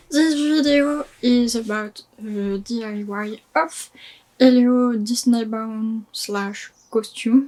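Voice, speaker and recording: A woman talks at a very slow pace in a fairly high, somewhat breathy voice. Her pitch varies in an ordinary way. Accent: French. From France. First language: French. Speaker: DIY crafter, Disney content creator. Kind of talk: casual talk to camera.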